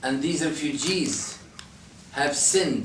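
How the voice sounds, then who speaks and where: A man with an Arabic accent and a fairly high pitch speaks at a very slow pace. There is noticeable background noise and audible room echo. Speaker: priest. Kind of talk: talk to a visiting group. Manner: impassioned.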